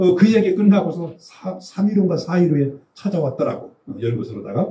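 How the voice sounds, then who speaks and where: A high-pitched man's voice with lively intonation, big swings in loudness and a moderate pace. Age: old. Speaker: physiognomy lecturer. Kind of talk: lecture. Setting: seminar with audience. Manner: casual storytelling.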